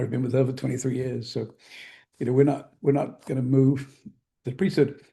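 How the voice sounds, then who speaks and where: A man with an American accent, a medium pitch, vocal fry, a dark, mellow tone and monotone, flat intonation. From England (London), later New Jersey. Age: 70s. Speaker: magazine publisher. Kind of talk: interview conversation.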